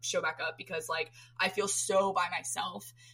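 A woman with an American accent, noticeable background noise behind her. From Florida, US. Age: 20s. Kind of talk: casual chat. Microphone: poor audio quality.

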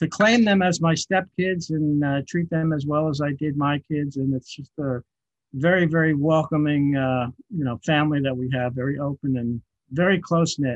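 A man with a normal speaking voice and an American accent, fairly high pitch, ordinary pitch variation and a fairly slow pace, in a dry, close sound with no echo. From New York City (Queens). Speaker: podcast technical director. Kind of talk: interview.

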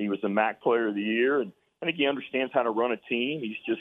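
This man uses an ordinary speaking voice at a medium pitch, with ordinary pitch variation. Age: 60s. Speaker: college basketball coach. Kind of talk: radio interview.

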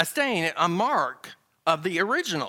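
This man has a Southern US accent and a bright, sharp tone. He talks at a fairly slow pace on a very clean recording with a silent background. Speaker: Bible class teacher. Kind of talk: Bible lesson. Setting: church class.

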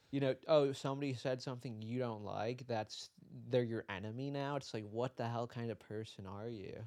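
A man with an American accent and an unremarkable speaking voice, at a moderate pace with fairly even intonation. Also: medium pitch for a man. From US Midwest (Detroit). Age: 20s. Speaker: visual artist. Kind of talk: casual interview chat.

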